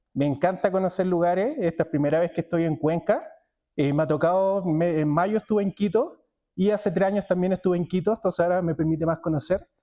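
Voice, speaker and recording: A man's dark, mellow, high-pitched voice with a Chilean accent, very fast and very even in loudness, dry and close with no echo over a quiet background. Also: ordinary pitch variation. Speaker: cloud technology speaker. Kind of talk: conference talk. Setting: stage with audience.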